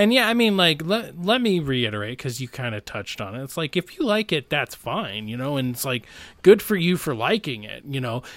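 Recorded very cleanly against a silent background, a man with an American accent talks at a fairly quick pace. His pitch swings very widely and his loudness shifts a lot. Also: fairly high pitch for a man. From Boise, Idaho, US. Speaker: podcast host. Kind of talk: casual chat.

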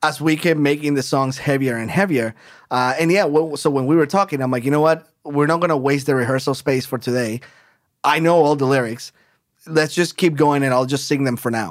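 Speaking at a fairly quick pace with a Spanish accent, a man's fairly high voice comes through on a very clean recording with a silent background. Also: fairly even intonation. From Colombia. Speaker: hard rock band singer. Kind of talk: casual chat.

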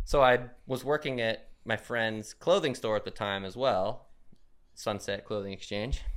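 A man with an American accent uses an ordinary speaking voice at a fairly slow pace with ordinary pitch variation. The recording is very clean, with a silent background. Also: medium pitch for a man. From Arizona, Phoenix. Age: 40s. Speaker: professional BMX rider. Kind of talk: casual chat. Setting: home studio.

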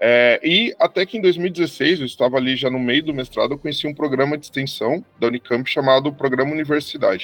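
An ordinary speaking voice from a man, fairly high in pitch with ordinary pitch variation, fairly quick with hardly any pauses, and big swings in loudness. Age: 30s. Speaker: historian. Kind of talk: interview.

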